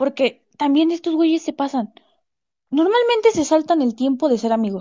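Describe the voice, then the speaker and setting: A woman with a Mexican accent, lively intonation and a moderate pace. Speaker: podcast host. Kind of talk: casual chat. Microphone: new recording app.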